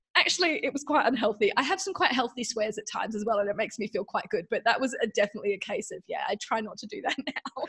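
A high-pitched woman with an Australian accent talks at a very fast pace with hardly any pauses and very wide pitch swings, recorded with a dry, close sound and no echo. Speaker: mindful eating guide and meditation teacher. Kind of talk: podcast interview.

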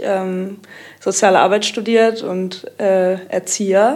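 Delivered at a very slow pace, the speech has fairly even intonation. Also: woman. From Kiel. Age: 20s. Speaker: techno DJ and student. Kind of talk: casual chat.

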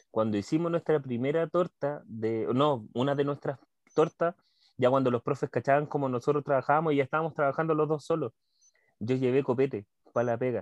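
Over a quiet background, a man speaks at a fairly quick pace with a fairly high pitch, ordinary pitch variation, and a dry, close sound with no echo. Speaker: podcast host. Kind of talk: casual chat. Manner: animated.

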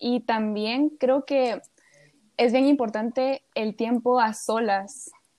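In an unremarkable speaking voice, a woman talks fairly slowly at a fairly high pitch. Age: 20s. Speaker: psychology student. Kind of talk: casual chat.

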